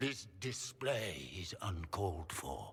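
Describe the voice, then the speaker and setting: A man's put-on character voice, fairly low-pitched, very slow and lively in intonation, over clear background noise. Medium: video game. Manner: formal, restrained.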